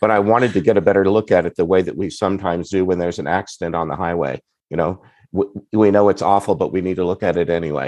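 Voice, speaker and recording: Against a quiet background, a man talks at a very fast pace. His pitch is very deep and low, with fairly even intonation. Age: 60s. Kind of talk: podcast interview. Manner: halting, with fillers and repeats.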